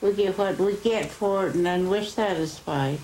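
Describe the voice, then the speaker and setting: Against noticeable background noise, a woman with an American accent speaks in a medium pitch with fairly even intonation. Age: 80s+. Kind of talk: oral history interview.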